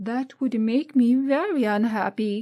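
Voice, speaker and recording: A woman's high, put-on character voice at a fairly slow pace. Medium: read story. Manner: prim, polite.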